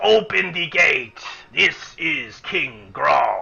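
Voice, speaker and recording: This man uses a put-on character voice, pitched high. He talks at a very slow pace. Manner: imitated, matching the king's voice.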